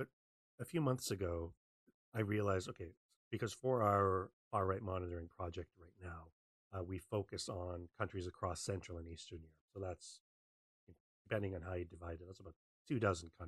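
Somewhat breathy speech with long, frequent pauses, dry and close with no echo. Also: man, very deep, low pitch for a man, ordinary pitch variation, fairly quick pace, big swings in loudness. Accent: Canadian. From Western Canada. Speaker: open source researcher. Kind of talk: online talk.

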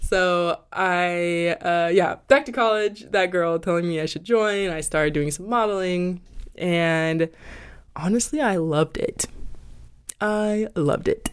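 On a very clean recording with a silent background, a woman speaks fairly slowly with an American accent and an animated tone. Her pitch is fairly low, with ordinary pitch variation. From US, military family moving around. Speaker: podcast host and model. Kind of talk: casual solo monologue. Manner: animated, laughing.

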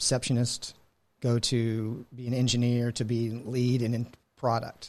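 A man's fairly slow, monotone delivery with flat intonation. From Texas, Houston area. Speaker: cybersecurity sales director, Navy veteran. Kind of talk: interview.

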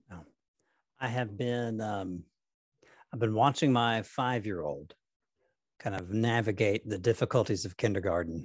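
A man with a fairly low pitch and ordinary pitch variation speaks at a moderate pace over a quiet background, his loudness swinging widely and his speech broken by long, frequent pauses. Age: 30s. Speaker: pastor and podcast host. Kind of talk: casual interview.

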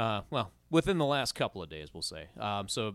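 Fairly low male voice in an Upper Midwest accent, with very wide pitch swings at a moderate pace, dry and close with no echo on a very clean recording with a silent background. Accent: Upper Midwest (Minnesota). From Minnesota, Rogers. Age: 40s. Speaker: podcast co-host. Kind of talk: casual chat.

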